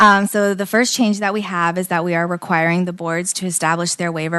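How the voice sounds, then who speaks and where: A woman speaks in a fairly low pitch with fairly even intonation. Noticeable background noise is present. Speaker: committee staff presenter. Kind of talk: legislative committee briefing. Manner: quiet.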